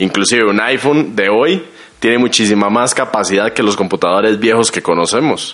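A man with a normal speaking voice talks at a fairly quick pace in a fairly low pitch, with ordinary pitch variation and very even loudness. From Costa Rica. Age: 20s. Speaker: guest. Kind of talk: casual chat.

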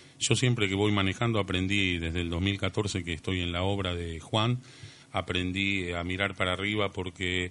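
In a bright, sharp tone, the voice moves at a moderate pace with monotone, flat intonation. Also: man, very deep, low pitch for a man. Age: 50s. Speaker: lecture team member, contactee speaker. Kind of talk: radio interview.

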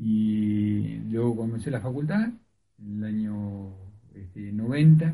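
At a very slow pace, the dark, mellow, somewhat breathy voice shows ordinary pitch variation and big swings in loudness amid audible room echo. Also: man, fairly low pitch for a man. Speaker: veterinarian and university tutor. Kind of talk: radio interview.

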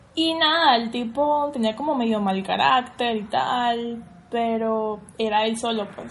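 In a room with audible echo, a woman talks at a fairly high pitch with ordinary pitch variation. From Venezuela, Caracas. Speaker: Venezuelan emigrant. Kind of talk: casual chat.

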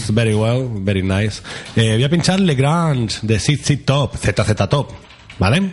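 The man's loudness stays very even while his intonation is lively. His pitch is medium, and noticeable background noise can be heard. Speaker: radio host. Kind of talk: casual chat. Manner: fast.

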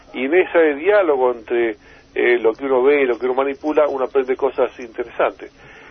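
A man's fairly quick speech, with ordinary pitch variation, comes through noticeable background noise. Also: medium pitch for a man. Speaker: inventor. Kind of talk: interview.

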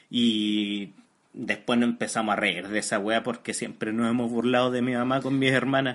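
Speaking at a moderate pace with a Chilean accent, a man holds a medium pitch in a monotone, flat intonation at very even loudness. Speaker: podcast co-host. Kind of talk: casual chat.

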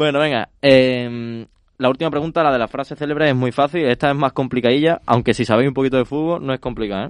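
A man with a medium pitch talks at a very fast pace, keeping his intonation fairly even. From Spain, Logroño (La Rioja). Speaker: quiz host. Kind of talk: casual chat. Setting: studio.

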